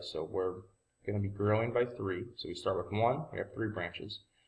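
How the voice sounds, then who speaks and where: Moderate-paced, somewhat breathy speech with pitch shifting in an ordinary way. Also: man. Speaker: math teacher. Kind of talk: tutorial. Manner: casual.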